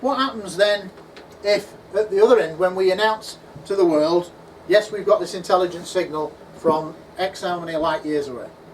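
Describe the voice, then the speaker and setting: A man with a high voice and ordinary pitch variation talks at a moderate tempo while noticeable noise runs in the background. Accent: American. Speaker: UFO researcher and conference speaker. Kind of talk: conference talk Q&A. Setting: conference at a pub venue with audience. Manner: animated.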